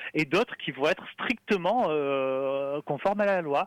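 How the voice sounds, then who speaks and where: At a moderate pace, a man speaks with a fairly high pitch and ordinary pitch variation, the sound dry and close with no echo. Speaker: communications officer at a free-software nonprofit. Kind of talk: radio interview. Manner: talkative.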